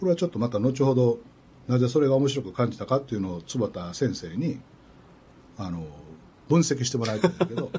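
Speaking with a Kansai accent, a man with a medium pitch and a somewhat breathy voice moves at a fairly quick pace with lively intonation, broken by long, frequent pauses. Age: 60s. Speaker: radio host. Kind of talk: casual chat. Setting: studio.

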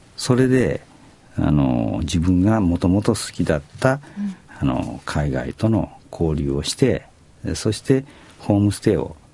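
Fairly slow delivery, very wide swings in pitch, and noticeable noise behind. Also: man, very deep, low pitch for a man. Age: 70s. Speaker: company president. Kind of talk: radio interview. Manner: hesitant with fillers.

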